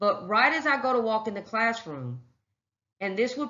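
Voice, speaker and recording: This woman's voice sits fairly high and carries vocal fry. She talks at a moderate pace. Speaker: phlebotomy instructor. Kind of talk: recorded lecture. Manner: casual conversational.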